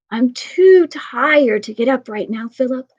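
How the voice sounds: A woman in a put-on character voice speaks at a high pitch with lively intonation. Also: moderate pace.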